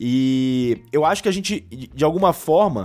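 A plain, everyday voice with lively intonation, recorded very cleanly against a silent background. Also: man. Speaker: guest podcaster. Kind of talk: casual chat.

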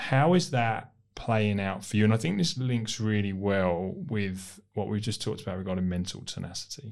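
A plain, everyday voice from a man at fairly low pitch, lively intonation, a moderate pace, hardly any pauses, and a quiet background. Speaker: podcast host. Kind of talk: interview.

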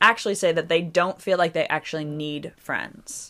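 A woman with a plain, everyday voice speaks at a moderate pace and fairly low pitch with ordinary pitch variation on a very clean recording with a silent background. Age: 30s. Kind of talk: casual chat.

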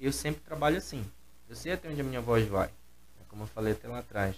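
This is a man's voice. His intonation is lively. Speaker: gospel musician and singer. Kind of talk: casual chat.

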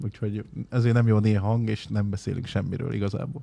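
A man's medium-pitched voice, somewhat breathy with a dark, mellow tone, at a fairly quick pace. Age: 30s. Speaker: streamer. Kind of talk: casual chat. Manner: animated.

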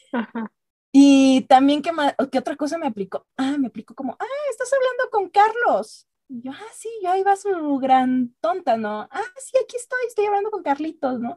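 Her voice is high in pitch with a dark, mellow tone, very wide pitch swings and big swings in loudness, delivered at a fairly slow pace in a dry, close sound with no echo. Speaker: podcast co-host. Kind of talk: casual chat.

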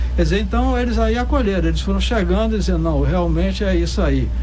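Against noticeable background noise and audible room echo, a man talks at a fairly quick pace with a very deep, low pitch. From Salvador, Bahia, Brazil. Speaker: founder of an arts and percussion project. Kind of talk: radio interview.

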